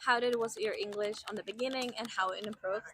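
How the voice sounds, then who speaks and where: A woman's fairly high voice with a Polish accent, animated and bright with a sharp edge, at a moderate pace with ordinary pitch variation, in a dry, close sound with no echo. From Poland, small city. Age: 20s. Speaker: vlogger, former au pair. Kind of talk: casual Q&A vlog. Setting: outdoors by the seaport.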